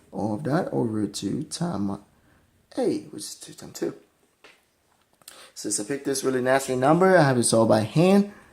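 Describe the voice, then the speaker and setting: With a non-native accent, a man of medium pitch speaks at a moderate pace using lively intonation, big swings in loudness, and long, frequent pauses. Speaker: math tutor. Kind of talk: math lesson explanation. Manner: casual, hesitant.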